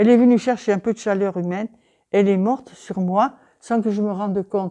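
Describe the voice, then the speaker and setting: Over a quiet background, a woman speaks at a fairly quick pace and medium pitch. Her tone is dark and mellow, her intonation monotone and flat. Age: 80s+. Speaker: retired elderly woman. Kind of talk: interview testimony.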